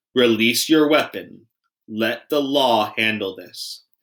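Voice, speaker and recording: A man's booming, put-on character voice at a medium pitch and a fairly slow pace. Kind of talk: formal, authoritative. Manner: booming, commanding.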